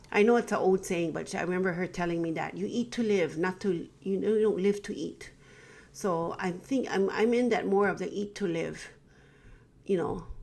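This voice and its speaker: Moderate pacing and ordinary pitch variation from a woman, medium in pitch with vocal fry. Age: 50s. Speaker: teacher. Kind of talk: casual talk to camera.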